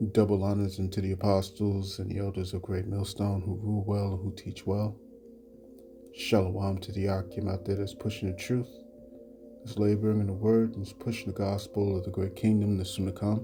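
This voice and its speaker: Music plays in the background as a man talks at a fairly quick pace. His fairly low pitch holds a monotone, flat intonation. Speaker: religious teacher. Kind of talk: religious lesson. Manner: low-voiced; halting, many fillers.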